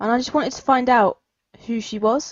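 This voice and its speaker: Quick-paced and fairly brisk, a woman with a high voice and a southern English accent speaks with ordinary pitch variation. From southern England. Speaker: podcast host. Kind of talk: podcast monologue.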